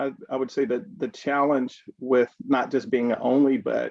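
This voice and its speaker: A man speaks at a medium pitch and a moderate pace. He has a slight Southern US accent. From Kentucky, Louisville. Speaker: healthcare executive. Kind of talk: panel discussion.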